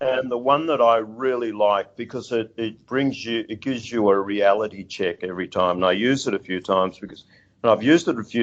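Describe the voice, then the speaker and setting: A man with an Australian accent talks at a moderate pace with ordinary pitch variation in a quiet background. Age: 60s. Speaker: seafood industry executive. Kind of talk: interview. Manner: halting, many fillers.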